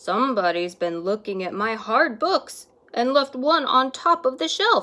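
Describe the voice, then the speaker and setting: A woman's raspy, high-pitched put-on character voice. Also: moderate pace. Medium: read story.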